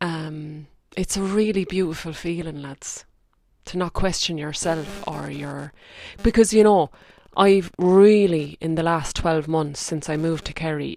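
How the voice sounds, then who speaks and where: With a strong rural Irish accent, a woman speaks at a fairly low pitch in a dark, mellow tone, her intonation fairly even and her loudness swinging widely. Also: fairly slow pace. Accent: thick Irish country. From rural Ireland. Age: 30s. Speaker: spiritual podcast host. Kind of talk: reflective monologue. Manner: casual, conversational.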